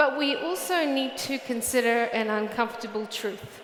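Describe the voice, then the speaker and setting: Speaking with a New Zealand accent, a woman with fairly high pitch and ordinary variation goes at a fairly slow pace amid noticeable background noise and audible room echo. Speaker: research director, conference speaker. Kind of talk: conference talk. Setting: stage with audience. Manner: blunt.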